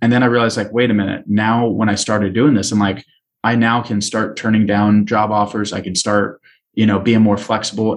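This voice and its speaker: With an American accent, a man talks at a fairly quick pace in a fairly low, monotone voice with flat intonation. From California. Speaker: policy advocacy trainer. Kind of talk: interview.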